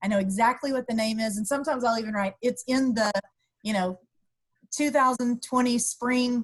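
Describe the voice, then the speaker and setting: Against a quiet background, a woman talks at a moderate pace in a somewhat breathy voice, her pitch fairly high with ordinary variation. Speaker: university instructor; instructor presenting to colleagues. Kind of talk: webinar tips presentation. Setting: video call. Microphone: video call.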